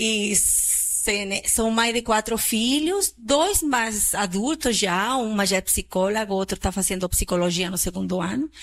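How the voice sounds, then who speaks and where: A woman with a Chilean accent speaks at a fairly slow pace and fairly high pitch with very even loudness in a very clean recording with a silent background. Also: ordinary pitch variation. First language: Spanish (speaking Portuguese). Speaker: psychiatrist. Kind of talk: public talk.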